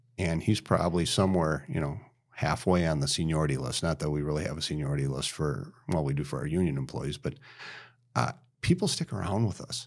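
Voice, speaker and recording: A man with an American accent talks at a very fast pace in a very deep, low pitch with vocal fry. The recording is very clean, with a silent background. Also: ordinary pitch variation. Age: 50s. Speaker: lumber company president. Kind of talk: casual interview.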